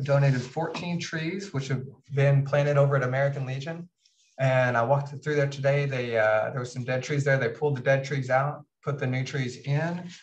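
His delivery moves at a moderate pace. The man's intonation is fairly even. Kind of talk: meeting report. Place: meeting room. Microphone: camera far.

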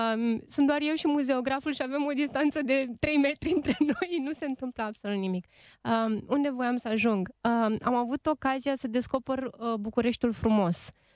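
Against a quiet background, a woman speaks at a high pitch and moderate pace with ordinary pitch variation, the sound dry with no echo. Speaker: radio host and writer; radio host. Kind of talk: casual chat. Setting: studio. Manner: animated. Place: studio. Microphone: studio mic.

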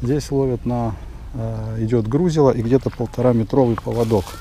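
With light background noise and a dry sound with no echo, a man speaks at a fairly slow pace with ordinary pitch variation. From Volgograd, Russia; Russia. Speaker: fishing vlogger. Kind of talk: casual vlog narration. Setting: outdoors. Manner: animated. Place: waterside. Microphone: phone near.

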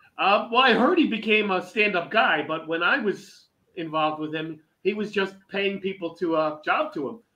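A man's raised, projected voice, high-pitched and bright and sharp in tone, with lively intonation at a moderate pace. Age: 50s. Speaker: veteran pro wrestler and teacher; podcast guest. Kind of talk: casual interview chat. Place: home room. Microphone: video call.

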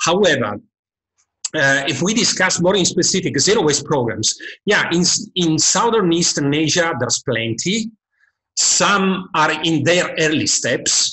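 Against a quiet background, a man with a high pitch speaks fairly slowly, his intonation lively and his loudness very even. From Italy. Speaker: waste policy expert; webinar panelist. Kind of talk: expert presentation. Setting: video call. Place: home room. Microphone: webcam.

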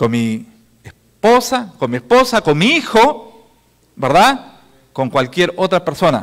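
Over a quiet background, a man with a high pitch speaks at a very slow pace, his pitch swinging very widely. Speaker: pastor and emergency response officer; pastor. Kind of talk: conference talk. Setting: conference hall. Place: hall. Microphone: handheld.

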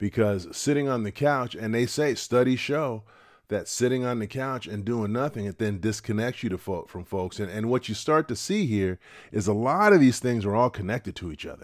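In a dry sound with no echo, a man speaks at a moderate pace with ordinary pitch variation. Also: quiet background. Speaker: retirement channel host. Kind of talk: casual advice talk to camera. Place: home room. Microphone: studio mic.

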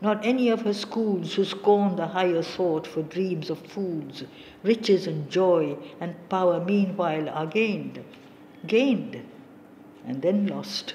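Over noticeable background noise, a woman with a medium pitch and ordinary pitch variation speaks at a fairly slow pace. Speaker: audiobook narrator. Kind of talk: poetry audiobook reading, solemn and literary. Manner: slow, measured, and reverent; steady, contemplative cadence with long pauses between stanzas.

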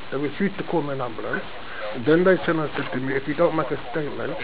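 A man speaks with ordinary pitch variation over noticeable background noise. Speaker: member of the public at a police front desk. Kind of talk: argumentative complaint to an officer. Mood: aggrieved, insistent. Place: office. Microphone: phone near.

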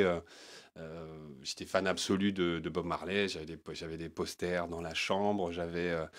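A man speaks against a quiet background. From Paris, 18th arrondissement. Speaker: singer-songwriter; guest. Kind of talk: interview. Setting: studio. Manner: halting, many hesitations. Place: studio. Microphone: handheld.

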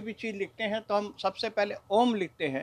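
A man's high-pitched voice at a fairly slow pace. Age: 60s. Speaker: bullion trader and note collector. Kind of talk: news interview. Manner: formal. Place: shop. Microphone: handheld.

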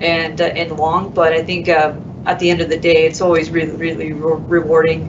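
A woman with a fairly low pitch talks at a moderate pace while noticeable background noise carries on. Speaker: construction superintendent; panelist. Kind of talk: panel discussion. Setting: live panel in a room, streamed online. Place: studio.

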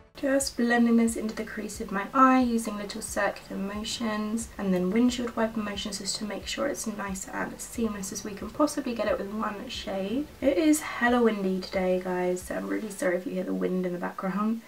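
Over light background noise, a woman talks at a moderate pace with ordinary pitch variation and hardly any pauses. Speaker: beauty video creator. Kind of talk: makeup tutorial chat. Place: home room.

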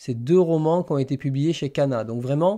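Over a quiet background, a man with a fairly high pitch and a dark, mellow tone speaks at a moderate pace with ordinary pitch variation. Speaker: manga YouTuber hosting a live stream; manga streamer. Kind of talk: casual live stream chat with viewers. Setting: live stream. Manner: hesitant, many fillers and repetitions. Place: home room.

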